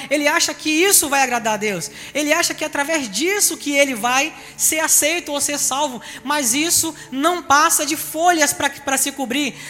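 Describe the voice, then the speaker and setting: A man's raised, projected voice sits at an extremely high pitch, varying in an ordinary way, with noticeable background noise behind it. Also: moderate pace. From Bahia, Salvador. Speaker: pastor. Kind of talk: sermon.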